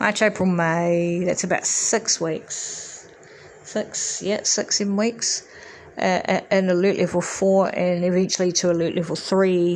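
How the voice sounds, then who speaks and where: A woman with a New Zealand accent, medium pitch and monotone, flat intonation, at a fairly slow pace with very even loudness. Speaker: podcast host. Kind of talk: solo monologue. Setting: home recording. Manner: hesitant, many fillers.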